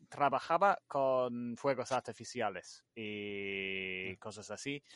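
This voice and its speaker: Speaking at a very slow pace, a man keeps a medium pitch with ordinary variation. The sound is dry and close with no echo, over a quiet background. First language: English (speaking Spanish). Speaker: light painting artist. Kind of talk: interview. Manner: halting.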